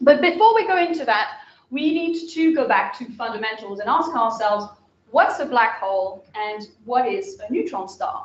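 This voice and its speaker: An energetic, enthusiastic voice in a French accent, with very wide pitch swings, a moderate pace and audible room echo. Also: woman, high pitch for a woman. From France, Pyrenees. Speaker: astrophysicist lecturer. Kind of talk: public lecture. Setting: lecture hall with live audience.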